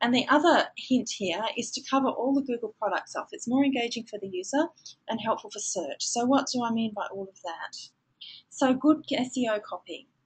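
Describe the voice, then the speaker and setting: In an Australian accent, a woman speaks at high pitch and a moderate pace, with lively intonation and big swings in loudness. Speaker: digital marketing trainer. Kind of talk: webinar lecture. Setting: online webinar.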